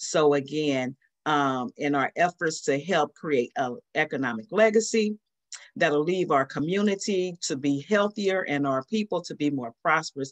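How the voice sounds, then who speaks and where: Against a quiet background, a woman with a very deep, low pitch speaks with lively intonation. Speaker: sorority member; chapter host closing a webinar. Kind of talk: closing remarks. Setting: video call. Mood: warm, grateful. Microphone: video call.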